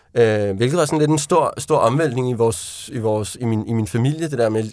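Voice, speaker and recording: At a fairly quick pace, a man talks with medium pitch and ordinary pitch variation in a very clean recording with a silent background. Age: 30s. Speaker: author. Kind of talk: interview. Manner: halting.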